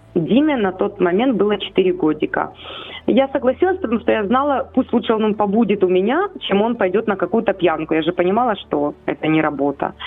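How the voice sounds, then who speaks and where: Against noticeable background noise, a woman speaks at a fairly quick pace and a medium pitch, her loudness very even and her intonation lively. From Ukraine, Chernihiv. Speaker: foster mother of ten, church minister. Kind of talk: radio interview. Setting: phone call.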